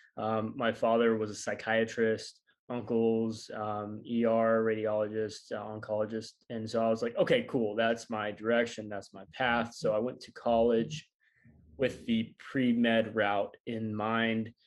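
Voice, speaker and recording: A man with a slight Southern US accent, fairly slow pace and big swings in loudness. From US South, northwest Arkansas. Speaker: physical therapist and breathwork coach. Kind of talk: interview.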